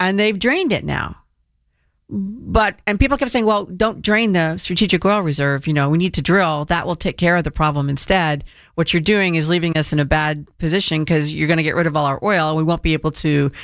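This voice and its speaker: This woman has an unremarkable speaking voice with a fairly low pitch and ordinary pitch variation. She speaks at a fairly quick pace with very even loudness. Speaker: radio host. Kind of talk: opinionated talk radio monologue.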